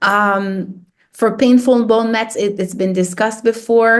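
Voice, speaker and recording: Speaking at a moderate pace with fairly even intonation, a woman talks with a slight French accent. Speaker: radiation oncologist. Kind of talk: lecture. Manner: hesitant, many fillers and repetitions.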